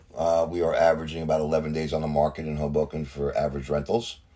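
Over noticeable background noise, a man with a New Jersey accent speaks at a very fast pace in a very deep, low pitch. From New Jersey, Hudson County. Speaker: real estate agent. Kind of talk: casual interview.

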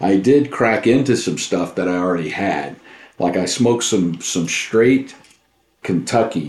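A man speaks at a fairly slow pace with a fairly low pitch. His intonation is lively, and he has an ordinary speaking voice. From Southeast Texas. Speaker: pipe smoker, co-host. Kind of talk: casual chat.

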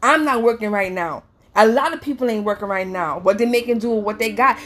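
A woman's ordinary speaking voice, fairly high in pitch with ordinary pitch variation, at a moderate pace. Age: 30s. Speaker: psychic reader. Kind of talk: casual chat.

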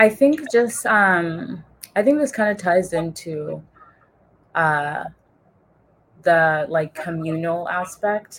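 A woman with a fairly low pitch speaks at a very slow pace, with long, frequent pauses. Her intonation is lively. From US (Congolese immigrant family). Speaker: psychology graduate and mental health advocate. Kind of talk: casual interview. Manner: hesitant, many fillers.

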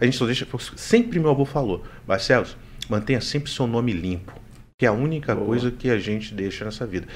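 A man speaks at a very fast pace in a medium pitch, his intonation lively. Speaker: world record holder and streamer. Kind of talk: live podcast interview.

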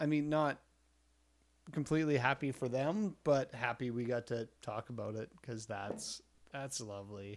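Speaking at a moderate pace in an unremarkable speaking voice, a man keeps a medium pitch with ordinary pitch variation in a very clean recording with a silent background. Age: middle-aged. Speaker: photographer podcast co-host. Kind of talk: casual chat.

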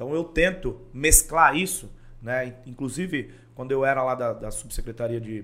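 This man talks at a moderate pace with a bright, sharp tone and a fairly high pitch. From Praia Grande, São Paulo coast, Brazil. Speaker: city councillor. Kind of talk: podcast interview.

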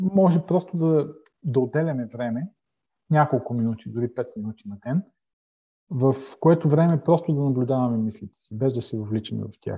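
A man with a medium pitch talks at a moderate pace, his voice somewhat breathy. His intonation is lively, and his loudness swings widely. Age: 50s. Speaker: life coach and former pastor. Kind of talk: interview. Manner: halting.

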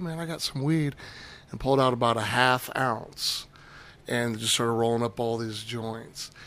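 A man's plain, everyday voice, medium in pitch and moderate in pace. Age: 40s. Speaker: cannabis brand marketer. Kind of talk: casual chat.

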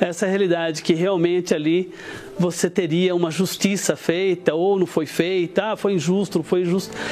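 The delivery is monotone, with flat intonation and very even loudness. Background noise is noticeable. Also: man, high pitch for a man, moderate pace. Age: 40s. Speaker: business executive giving testimony. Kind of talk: testimony.

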